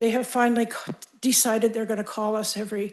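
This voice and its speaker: With monotone, flat intonation, a woman speaks at a fairly high pitch. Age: 80s+. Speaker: wildfire survivor giving public comment. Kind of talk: public comment at county board meeting.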